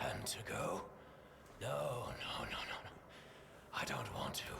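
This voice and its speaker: A man whispers in a put-on character voice at a moderate pace. Loud background noise fills the recording. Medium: video game. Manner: muttering, repetitive, ecstatic.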